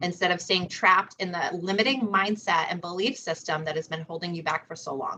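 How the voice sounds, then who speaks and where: A woman talks at a fairly quick pace with an American accent. Her pitch varies in an ordinary way. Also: fairly low pitch for a woman. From US Northeast, Rhode Island. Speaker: psychic medium and spiritual teacher. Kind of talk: interview on spiritual self-help.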